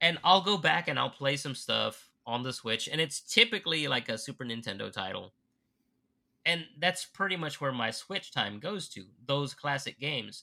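Bright and sharp in tone, a man's fairly high voice carries lively intonation and vocal fry at a moderate pace, on a very clean recording with a silent background. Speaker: podcast co-host. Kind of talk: casual chat.

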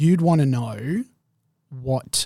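A man's somewhat breathy voice with ordinary pitch variation. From Perth, Western Australia. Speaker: marketer. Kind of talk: casual chat.

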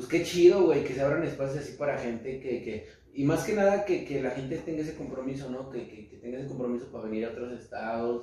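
With audible room echo and noticeable background noise, a man talks very fast at a medium pitch, with hardly any pauses, ordinary pitch variation and big swings in loudness. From central Mexico. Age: 20s. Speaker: rapper. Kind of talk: casual chat.

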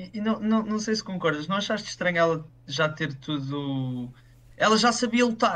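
A man's high-pitched voice, bright and sharp in tone, at a moderate pace. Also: lively intonation. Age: 20s. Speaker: film commentator. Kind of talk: casual discussion.

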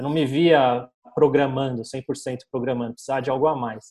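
A man with a plain, everyday voice, fairly high in pitch, at a moderate pace with ordinary pitch variation. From Brazil, São Paulo. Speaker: digital marketing agency owner. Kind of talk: casual interview chat.

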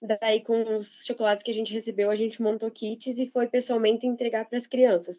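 A woman's fairly high voice at a fairly quick pace, monotone and flat, with hardly any pauses. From Santa Catarina, Brazil (São Bento do Sul). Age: 20s. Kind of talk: podcast interview.

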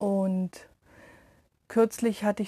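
A woman speaks in a dark, mellow tone that is somewhat breathy, with monotone, flat intonation. The sound is dry and close, with no echo. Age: 30s. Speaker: meditation podcaster, energy worker. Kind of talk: casual self-introduction monologue.

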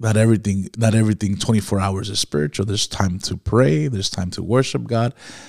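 A man's fairly low voice at a fairly quick pace, with ordinary pitch variation, in a dry, close sound with no echo. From Miami, Florida. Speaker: pastor. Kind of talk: casual chat. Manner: halting, many fillers.

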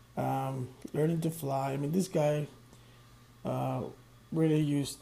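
A man with a fairly high pitch sounds somewhat breathy. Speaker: solo podcast host, music reviewer. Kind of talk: casual solo monologue. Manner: hesitant, filler-heavy.

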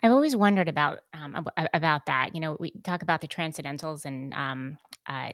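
A woman's very deep, low voice with an American accent, fairly quick, with ordinary pitch variation, very cleanly recorded against a silent background, dry and close with no echo. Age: 40s. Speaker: podcast host and editor. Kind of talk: casual interview chat.

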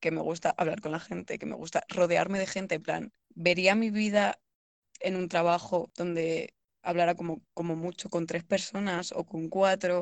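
In a dry, close sound with no echo, a woman speaks at a moderate pace with a fairly low pitch and monotone, flat intonation. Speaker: podcast co-host, university student. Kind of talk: casual chat.

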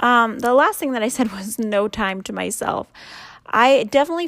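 A woman talks at a moderate pace in a normal speaking voice with ordinary pitch variation. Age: 30s. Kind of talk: faith talk monologue. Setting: home recording at night. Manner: casual.

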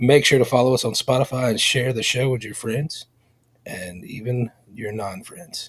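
A man speaks in a medium pitch, somewhat breathy. His intonation is fairly even. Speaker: podcast co-host.

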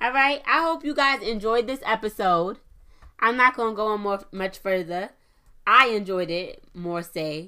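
Bright and sharp in tone, a woman's fairly high voice carries lively intonation and an animated feel in a very clean recording with a silent background. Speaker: podcast host. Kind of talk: motivational solo talk. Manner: fast talker.

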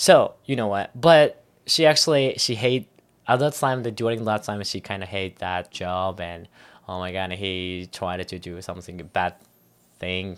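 In a very clean recording with a silent background, a man with a Japanese accent speaks at a moderate pace and fairly low pitch, showing ordinary pitch variation, big swings in loudness, and long, frequent pauses. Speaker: anime podcast co-host. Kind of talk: casual chat. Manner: halting.

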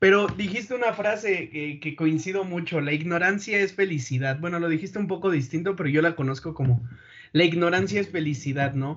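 Here a man talks in a high voice. His pace is fairly quick, with ordinary pitch variation. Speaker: engineering student, podcast host. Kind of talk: casual chat.

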